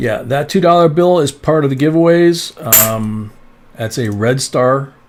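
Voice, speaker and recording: Pitch varies in an ordinary way as an unremarkable speaking voice proceeds at a fairly slow pace. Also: man, fairly high pitch for a man. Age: 60s. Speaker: coin collecting live streamer. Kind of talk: live stream chat. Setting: live stream with co-host. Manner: casual, conversational.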